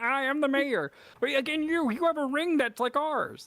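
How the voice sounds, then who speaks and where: A put-on character voice in a very clean recording with a silent background. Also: female-sounding voice, high pitch for a woman, moderate pace. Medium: actual play. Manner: blunt, scattered.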